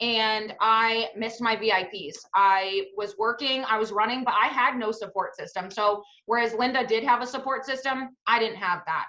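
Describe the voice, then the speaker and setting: Bright and sharp in tone, a woman with a fairly high pitch speaks at a moderate pace with hardly any pauses. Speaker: network marketing team leader. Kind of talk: testimony. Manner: loud, energetic.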